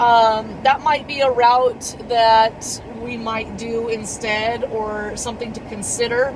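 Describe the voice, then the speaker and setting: A woman's fairly high, monotone voice with flat intonation, at a very slow pace with hardly any pauses, over noticeable background noise. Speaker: vlogger. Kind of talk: vlog. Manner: rambling, filler-heavy.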